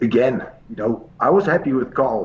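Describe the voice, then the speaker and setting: A man is speaking. He has a Dutch accent. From Netherlands. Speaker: pool coach. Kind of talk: interview. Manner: hesitant, many fillers.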